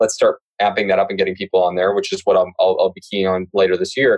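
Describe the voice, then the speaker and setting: The sound is dry and close with no echo. A man speaks at a very fast pace with a Canadian accent. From Canada. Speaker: loan officer. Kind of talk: podcast interview.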